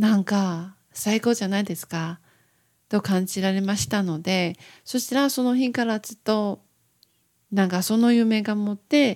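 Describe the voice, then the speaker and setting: In a Taiwanese accent, a woman speaks fairly slowly at a medium pitch with ordinary pitch variation. The recording is very clean, with a silent background. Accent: Taiwanese-accented Japanese. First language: Mandarin Chinese (speaking Japanese). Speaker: podcaster. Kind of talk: casual monologue. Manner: halting.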